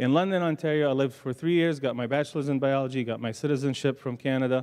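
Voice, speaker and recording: Speaking with a slight Arabic accent, a man uses a medium pitch and fairly even intonation. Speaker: pharmacy professor. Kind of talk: panel talk.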